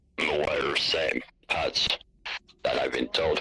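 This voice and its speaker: At a moderate pace, a man performs a put-on character voice pitched extremely high. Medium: machinima. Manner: curt, tired.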